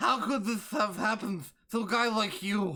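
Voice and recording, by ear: The put-on character voice is fairly high and moves at a moderate pace.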